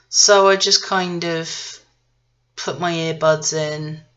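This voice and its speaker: A woman speaks with an English accent in a very deep, low pitch. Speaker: vlogger. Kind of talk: casual travel vlog monologue. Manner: hesitant, many fillers and restarts.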